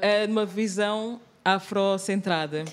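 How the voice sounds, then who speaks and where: Over noticeable background noise and audible room echo, a woman talks at a very slow pace with a medium pitch and fairly even intonation. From Angola. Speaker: actress and theatre maker. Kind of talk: panel discussion. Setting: live recording in theatre bookshop.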